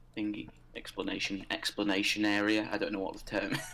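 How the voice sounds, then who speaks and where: This is a man speaking. He has a British accent. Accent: regional British. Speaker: co-host of a game livestream. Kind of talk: casual chat. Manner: loud.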